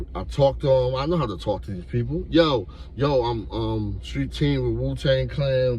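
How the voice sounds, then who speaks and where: A man's animated voice at a fairly slow pace, with very wide pitch swings and audible room echo. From New York. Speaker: YouTuber telling street stories. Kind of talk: storytelling monologue. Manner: casual, animated.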